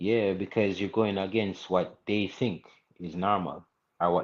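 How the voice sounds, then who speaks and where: Speaking with a Jamaican accent, a man uses a very deep, low pitch, fairly even intonation and a moderate pace. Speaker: reggae artist. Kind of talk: interview. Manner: halting, many fillers.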